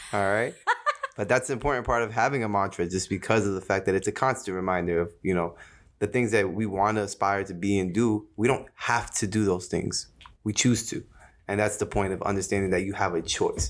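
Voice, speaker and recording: A man with an American accent speaks at a fairly low pitch. His pace is fairly quick. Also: fairly even intonation, very clean recording, silent background. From US Northeast, Jersey City, New Jersey. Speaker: podcast co-host. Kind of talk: casual chat.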